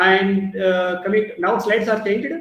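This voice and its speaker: A man with an Indian accent and a high pitch, at a fairly quick pace, amid audible room echo. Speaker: pharmacy professor; webinar lecturer. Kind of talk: lecture. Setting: video call. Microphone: video call.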